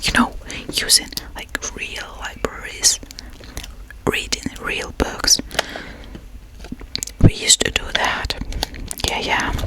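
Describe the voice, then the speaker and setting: Someone whispers very slowly, with long, frequent pauses and big swings in loudness. Background noise is noticeable. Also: woman. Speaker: freelance artist, ASMR creator. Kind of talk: casual chit-chat ASMR talking to camera. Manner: soft-spoken, whispered, friendly.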